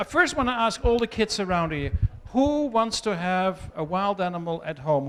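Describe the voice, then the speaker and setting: Loud and fairly quick, a man talks at a high pitch. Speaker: wildlife rescue founder. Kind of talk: talk to children.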